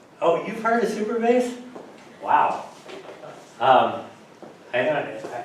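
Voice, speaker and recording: Speaking very slowly with long, frequent pauses, a man is heard over noticeable background noise and audible room echo. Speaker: emergency management specialist. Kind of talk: lecture. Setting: lecture room with audience. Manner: slow talker, speeding up; hesitant, many fillers.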